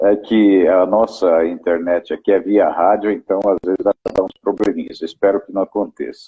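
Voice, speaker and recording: Hardly pausing at all, a man talks at a moderate tempo. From Brazil, interior of São Paulo state. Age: 60s. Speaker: fishing guide. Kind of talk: interview, casual chat. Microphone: radio internet connection, may have problems.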